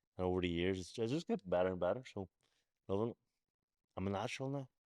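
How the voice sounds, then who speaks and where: With a Belfast accent, a man speaks at a very fast pace with a fairly low pitch and ordinary pitch variation, the sound dry and close with no echo. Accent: Belfast, Northern Irish. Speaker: podcast host and boxer. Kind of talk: casual podcast talk.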